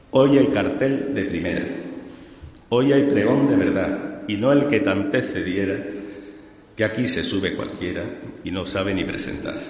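A man speaks at a fairly slow pace with a medium pitch and long, frequent pauses. Noticeable background noise runs underneath. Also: lively intonation. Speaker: presenter introducing the pregonero. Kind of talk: formal introduction in rhymed verse, then closing thanks. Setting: stage with audience.

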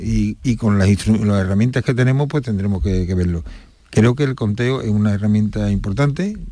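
A man's voice sits fairly low and has a dark, mellow tone. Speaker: brotherhood council president. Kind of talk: radio interview. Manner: halting.

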